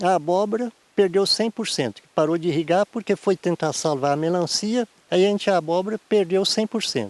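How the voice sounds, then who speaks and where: Dry and close with no echo, a man's high-pitched voice moves at a moderate pace with ordinary pitch variation and big swings in loudness. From Brazil, Rio Doce region (Espírito Santo). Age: 60s. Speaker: farmer. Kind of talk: interview. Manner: halting.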